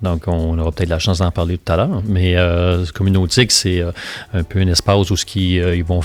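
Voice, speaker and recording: Speaking at a fairly quick pace, a man has a very deep, low pitch. His intonation stays fairly even in a Quebec accent. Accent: Québécois French. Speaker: sculptor. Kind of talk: interview conversation. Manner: casual, hesitant with many fillers.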